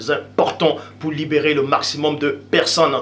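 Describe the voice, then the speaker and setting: Over noticeable background noise, a man talks at a fairly slow pace in a fairly high pitch. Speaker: religious video preacher. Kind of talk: preaching monologue. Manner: loud.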